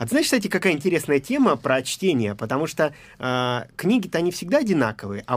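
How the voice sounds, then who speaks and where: His pitch swings very widely. The man talks at a fairly quick pace. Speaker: poet and writer. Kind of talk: casual chat. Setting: studio.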